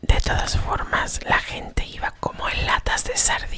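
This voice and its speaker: A woman's whisper at a very slow pace over noticeable background noise. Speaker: ASMR creator. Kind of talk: ASMR storytelling for sleep, travel anecdote. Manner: whispered, soft-spoken.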